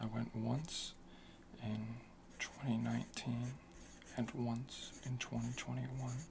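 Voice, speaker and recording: Soft-spoken and at a very slow pace, the voice comes through noticeable background noise. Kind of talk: ASMR soft-spoken talk.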